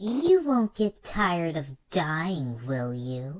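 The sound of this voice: Using a put-on character voice, a man talks at a very slow pace with a high pitch.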